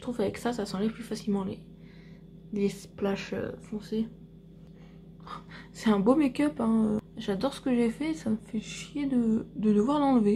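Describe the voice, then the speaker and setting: Fairly high female voice with a dark, mellow tone and some breathiness, at a fairly slow pace with long, frequent pauses, big swings in loudness and ordinary pitch variation. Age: 30s. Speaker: vlogger and beauty product seller. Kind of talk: casual vlog. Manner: soft-spoken.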